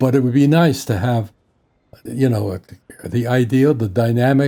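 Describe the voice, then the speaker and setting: A man is speaking. His tone is dark and mellow, with fairly even intonation. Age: 80s+. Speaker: game mod creator and YouTuber. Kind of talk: tutorial. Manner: halting, with repeated words.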